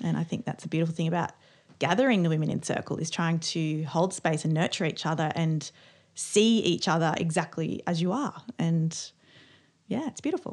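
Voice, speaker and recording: A woman talks in a plain, everyday voice, fairly low in pitch, with ordinary pitch variation. Her pace is fairly quick, and the background is quiet. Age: 40s. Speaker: podcast co-host, witch. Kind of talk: casual chat.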